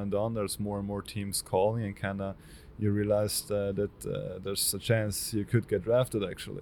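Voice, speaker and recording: A man talks at a fairly quick pace in a fairly low voice. His intonation is monotone and flat. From northern Italy, South Tyrol (Bruneck). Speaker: hockey goalie prospect. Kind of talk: interview.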